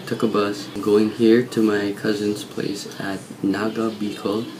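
Over faint background music, a man talks at a fairly low pitch. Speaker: vlogger. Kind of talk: casual vlog chat. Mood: cheerful, laughing. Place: home room. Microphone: phone near.

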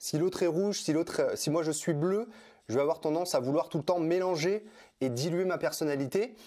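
A man with a high voice and a dark, mellow tone takes long, frequent pauses. His pitch varies in an ordinary way, against a quiet background. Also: fairly quick pace. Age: 30s. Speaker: personal development trainer and author; personal development trainer. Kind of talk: interview. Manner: halting, many fillers and repetitions. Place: home room. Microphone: lapel.

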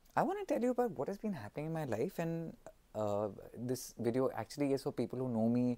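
A man with a fairly high pitch and a dark, mellow tone speaks at a very fast pace with lively intonation. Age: 30s. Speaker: company founder and vlogger; vlogger. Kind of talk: personal vlog monologue. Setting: on holiday in Australia. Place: home room. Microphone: phone near.

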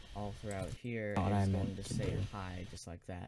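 Over light background noise, a man speaks at a moderate pace in a fairly low pitch. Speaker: YouTuber, gaming channel creator. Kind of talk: tutorial. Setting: home computer recording with USB microphone. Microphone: studio mic.

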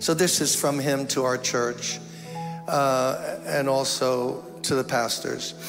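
Clear music plays in the background. The intonation stays fairly even. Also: man. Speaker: pastor addressing a congregation. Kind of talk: sermon. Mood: solemn, concerned. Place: church. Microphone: handheld.

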